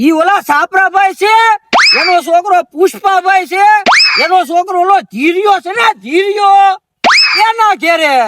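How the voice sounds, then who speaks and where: A put-on character voice speaks at an extremely high pitch and a very slow pace. Sound effects play in the background. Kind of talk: rustic Kathiawadi comedy. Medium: comedy sketch. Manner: folksy, chatty.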